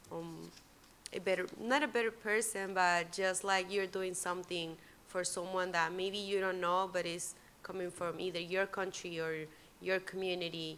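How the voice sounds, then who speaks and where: Speaking at a moderate pace with a Spanish accent, a woman keeps her intonation fairly even at a medium pitch. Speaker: immigration law worker. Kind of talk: panel talk. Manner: halting.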